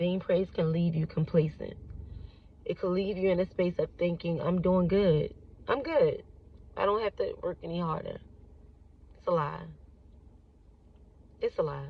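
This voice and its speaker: A woman talks at a moderate pace in a strong Baltimore accent. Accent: Baltimore accent, fairly strong. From Baltimore, US. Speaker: actress and content creator. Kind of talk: casual vlog talk. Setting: outdoors, walking or driving in city. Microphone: shaky phone recording.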